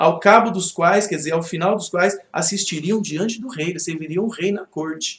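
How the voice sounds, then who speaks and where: A man's high voice moves with ordinary pitch variation. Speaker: Bible study teacher. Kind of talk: Bible study class. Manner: fast; conversational.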